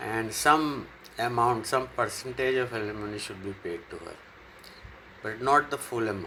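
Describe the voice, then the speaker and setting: A man talks at a moderate pace, his pitch medium with ordinary variation. Noticeable background noise runs underneath. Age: 60s. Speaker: YouTuber. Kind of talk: casual monologue, opinion vlog. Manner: halting, frequent fillers.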